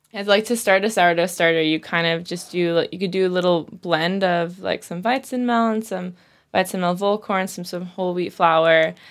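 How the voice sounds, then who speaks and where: Speaking at a fairly quick pace with fairly even intonation, this is an unremarkable speaking voice with an American accent, captured in a very clean recording against a silent background. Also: woman, medium pitch for a woman. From US. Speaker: fermentation workshop teacher. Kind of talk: casual interview. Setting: studio.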